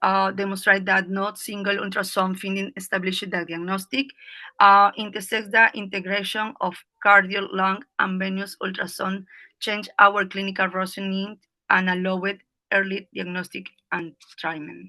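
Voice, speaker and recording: A bright, sharp tone at a moderate pace with a Spanish accent, over a quiet background. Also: woman. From Peru. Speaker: emergency physician. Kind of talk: lecture. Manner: halting.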